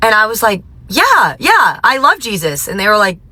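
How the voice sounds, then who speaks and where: A woman speaks in an American accent. Her intonation is lively. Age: 20s. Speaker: teacher. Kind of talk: testimony. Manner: casual, conversational.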